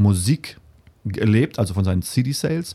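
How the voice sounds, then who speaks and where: A man speaks at a fairly slow pace with a fairly low pitch. His tone is dark and mellow, and somewhat breathy. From Namibia. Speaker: musician. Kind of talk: interview. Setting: studio.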